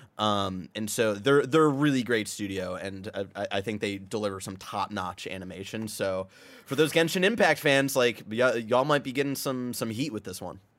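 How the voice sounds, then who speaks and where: Recorded very cleanly against a silent background, a man talks in a plain, everyday voice at a fairly low pitch, with lively intonation, a moderate pace and hardly any pauses. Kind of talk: casual chat. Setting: studio.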